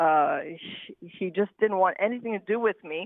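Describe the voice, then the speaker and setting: This woman talks with a Montreal accent. Her pitch is medium, with ordinary variation. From Quebec. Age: 60s. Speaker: caller. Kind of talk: testimony.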